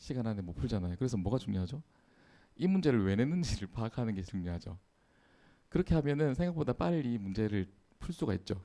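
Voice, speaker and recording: Very fast speech from a man at medium pitch, dark and mellow in tone, with very wide pitch swings and long, frequent pauses. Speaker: preacher. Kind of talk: sermon.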